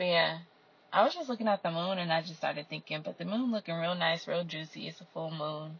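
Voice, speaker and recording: Her voice is somewhat breathy and fairly low for a woman. She speaks at a fairly quick pace with ordinary pitch variation. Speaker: solo podcaster. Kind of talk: casual monologue.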